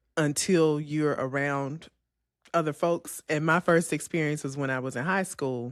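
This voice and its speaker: In a Memphis accent, a woman speaks at a fairly slow pace with a very deep, low pitch and fairly even intonation. The recording is very clean, with a silent background. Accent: Southern US (Memphis), pin-pen merger. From US South, Memphis, Tennessee. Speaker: podcast co-host. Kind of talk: casual chat.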